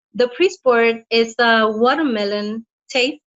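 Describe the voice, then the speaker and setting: Her voice sits fairly high in pitch. This woman talks with a non-native accent. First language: not English. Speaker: health practitioner and product presenter. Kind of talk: product presentation read from notes. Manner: halting.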